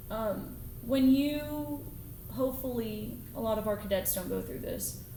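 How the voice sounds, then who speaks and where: Audible room echo and noticeable background noise around a woman's fairly slow delivery. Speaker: Air Force officer. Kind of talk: podcast interview. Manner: loud.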